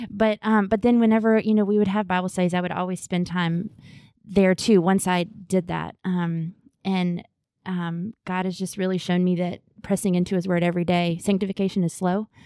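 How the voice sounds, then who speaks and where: A woman speaks in a Southern US accent with a dark, mellow tone and medium pitch. Her delivery is monotone and flat at a moderate pace, on a very clean recording with a silent background. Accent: Southern US (Georgia). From US South, Augusta, Georgia. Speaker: Bible teacher. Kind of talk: casual chat.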